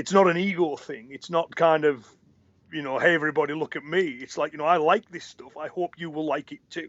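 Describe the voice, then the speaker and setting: Speaking at a fairly quick pace, a man with a plain, everyday voice and a fairly high pitch keeps fairly even intonation but shows big swings in loudness. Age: 40s. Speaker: karate instructor. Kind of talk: interview.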